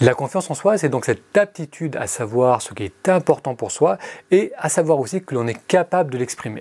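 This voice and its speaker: A man's unremarkable speaking voice, fairly high in pitch with lively intonation, at a moderate pace with big swings in loudness, in dry, close sound with no echo. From France. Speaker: meditation podcaster. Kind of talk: scripted narration.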